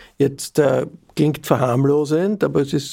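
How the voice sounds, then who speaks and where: Showing vocal fry, a man with an Austrian accent speaks in a dark, mellow tone at a fairly high pitch with ordinary pitch variation. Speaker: podcast host. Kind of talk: interview. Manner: formal.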